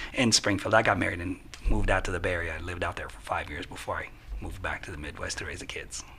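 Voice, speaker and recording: A man whispers at a very fast pace, with big swings in loudness. Audible room echo is present. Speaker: software consultant. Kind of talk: podcast interview.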